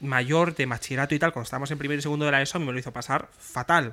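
Speech comes at a very fast pace. The recording is very clean, with a silent background. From Extremadura, Spain (rural village). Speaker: podcast co-host, comedian. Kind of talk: casual chat.

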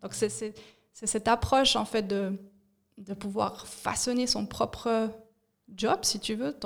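A woman talks at a very slow pace, leaving long, frequent pauses. Her intonation stays fairly even. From Switzerland, Fribourg (bilingual). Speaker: communication and organisation consultant. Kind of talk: casual interview. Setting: studio at coworking space.

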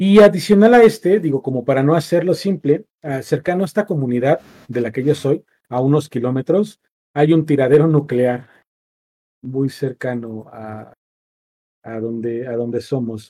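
Lively intonation marks a man's fairly high voice, which is dark and mellow in tone. He speaks at a moderate pace. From central Mexico, State of Mexico (Nopaltepec). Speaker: podcast host. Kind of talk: casual chat.

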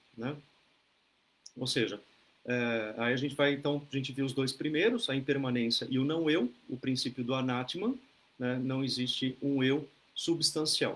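This man's pitch sits in the middle range, and his intonation stays fairly even. He talks fairly slowly, with long, frequent pauses. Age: 40s. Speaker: Buddhist teacher leading an online group. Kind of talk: dharma talk. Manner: relaxed, conversational with many fillers.

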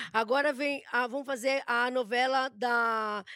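Recorded very cleanly against a silent background, a woman speaks in a high, bright, sharp voice. Her tone is animated, with ordinary pitch variation. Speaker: celebrity gossip host. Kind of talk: casual chat.

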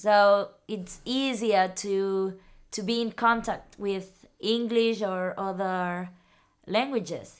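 The recording is very clean, with a silent background. A woman of medium pitch talks at a very slow pace with fairly even intonation. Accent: Spanish. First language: Spanish. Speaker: neurologist. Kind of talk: interview answers in second language. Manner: halting, repeats words.

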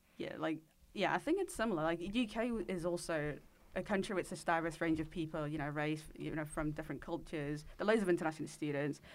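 Speaking at a very fast pace, a woman uses a fairly low pitch with ordinary pitch variation. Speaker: podcast co-host. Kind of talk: casual chat.

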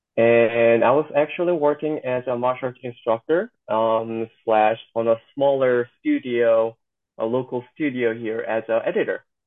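A man with a Korean accent, medium pitch, fairly even intonation and a fairly slow pace. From South Korea. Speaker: stunt performer. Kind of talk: interview. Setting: video call.

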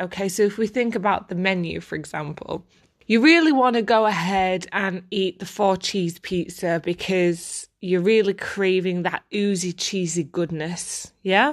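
A woman speaks at a fairly slow pace with hardly any pauses. Her pitch is medium, and the background is quiet. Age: 30s. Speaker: life coach and podcast host. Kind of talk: solo podcast talk on personal development. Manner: casual, chatty with fillers.

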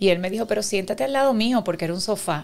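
Speaking very fast, a woman with a Puerto Rican accent uses a medium pitch. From Puerto Rico, Carolina. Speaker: concert promoter. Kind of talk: casual chat.

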